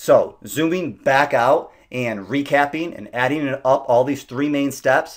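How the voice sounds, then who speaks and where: Here is a man with an ordinary speaking voice. He speaks at a moderate pace with fairly high pitch. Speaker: SEO business owner. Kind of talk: slide presentation.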